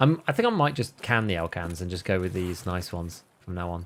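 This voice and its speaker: A man with a West Midlands accent, fairly low-pitched, with lively intonation. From England, West Midlands. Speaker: video game streamer. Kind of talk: casual livestream gaming commentary. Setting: livestream.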